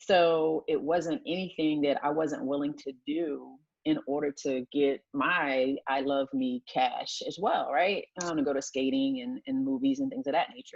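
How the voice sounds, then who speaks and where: This is a woman with an American accent. She talks at a moderate pace. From Delaware, US. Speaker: retired naval officer and entrepreneur. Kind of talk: interview. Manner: hesitant, many fillers.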